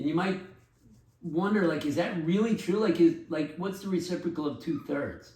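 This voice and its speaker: A man speaks with a high pitch and ordinary pitch variation. Room echo is audible. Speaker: math teacher. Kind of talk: tutorial.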